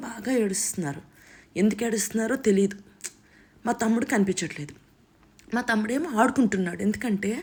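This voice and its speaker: A woman talks in an animated tone. Her pitch varies in an ordinary way. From north coastal Andhra Pradesh (Gummalakshmipuram, Parvathipuram district). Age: 40s. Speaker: vlogger, mother. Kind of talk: casual vlog, personal life story. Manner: animated, conversational.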